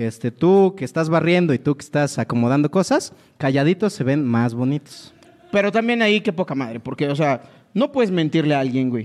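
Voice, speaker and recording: In a plain, everyday voice, a man talks fairly high and at a fairly quick pace, his intonation lively. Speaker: comedian co-host. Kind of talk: comedic casual chat.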